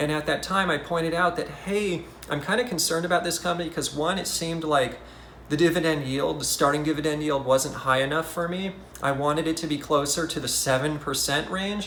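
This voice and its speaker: A man talks at a fairly quick pace with fairly high pitch and fairly even intonation. Noticeable background noise and audible room echo surround his voice. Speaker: investing YouTuber. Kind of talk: casual market commentary. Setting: hotel room. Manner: soft-spoken.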